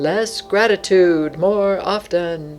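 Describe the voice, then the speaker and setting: A put-on character voice at a middle pitch, with faint music in the background. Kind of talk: announcer. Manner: booming.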